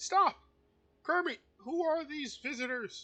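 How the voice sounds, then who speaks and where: Put-on character voice, high in pitch, at a fairly slow pace. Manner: goofy, silly.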